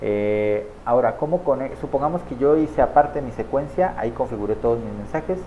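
A man speaks at a moderate pace, his intonation lively. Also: medium pitch for a man.

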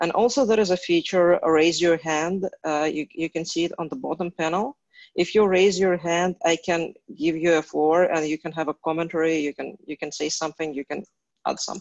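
This woman has a low pitch and a slightly mellow tone. She talks at a fairly quick pace with fairly even intonation.

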